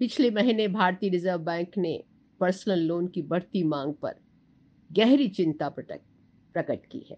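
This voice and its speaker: With a dark, mellow tone, a woman speaks at a medium pitch, her intonation lively and her loudness swinging widely. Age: 70s. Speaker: doctor and medical teacher. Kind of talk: talk giving advice.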